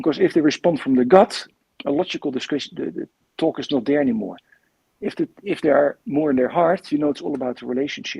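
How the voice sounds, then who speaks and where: Very fast and in a Dutch accent, the speaker talks with lively intonation and a dark, mellow tone, recorded dry and close with no echo. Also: man, fairly high pitch for a man. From Netherlands. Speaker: coach and coach trainer. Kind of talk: interview. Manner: halting, repeats words.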